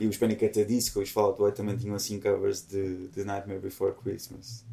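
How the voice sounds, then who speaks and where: A man speaks at a fairly quick pace. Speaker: musician. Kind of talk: casual chat.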